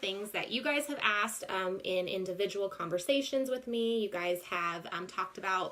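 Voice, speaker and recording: Over noticeable background noise, a woman talks at a moderate pace and a medium pitch, with ordinary pitch variation. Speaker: vlogger. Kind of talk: casual live-stream chat. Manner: hesitant, many ums.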